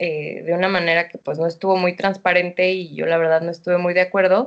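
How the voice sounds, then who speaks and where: A woman with a Mexican accent. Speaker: entrepreneur. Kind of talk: casual interview.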